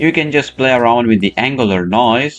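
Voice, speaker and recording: A man with a non-native accent speaks at a moderate pace and medium pitch with ordinary pitch variation, music in the background. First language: not English. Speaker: 3D software tutor. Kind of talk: tutorial. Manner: halting, many fillers.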